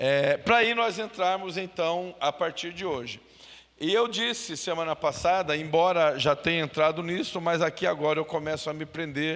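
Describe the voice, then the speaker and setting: Speaking in a normal speaking voice, a man with a fairly high pitch talks at a fairly slow pace with ordinary pitch variation. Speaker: pastor. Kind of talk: Bible study.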